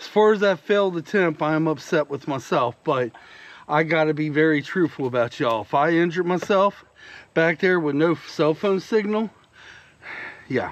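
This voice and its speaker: A man's fairly high voice in a Southern US accent, moderate in pace, with ordinary pitch variation. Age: 50s. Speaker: YouTube vlogger. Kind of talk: casual vlog talk to camera.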